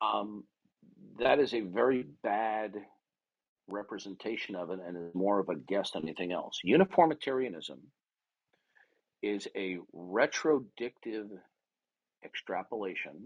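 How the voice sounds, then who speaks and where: A man's lively intonation, with big swings in loudness and long, frequent pauses. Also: fairly slow pace. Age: 60s. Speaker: online debater. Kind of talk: heated debate. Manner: forceful, interrupting.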